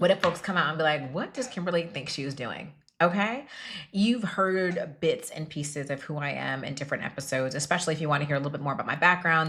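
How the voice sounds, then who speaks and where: Someone speaks at a very fast pace in an animated tone, with ordinary pitch variation. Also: woman. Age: 30s. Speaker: podcast host. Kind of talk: solo podcast monologue.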